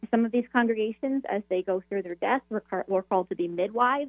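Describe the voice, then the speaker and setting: This woman has an ordinary speaking voice with a fairly high pitch. She talks at a moderate pace with ordinary pitch variation. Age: 30s. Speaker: Episcopal priest and author. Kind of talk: radio interview.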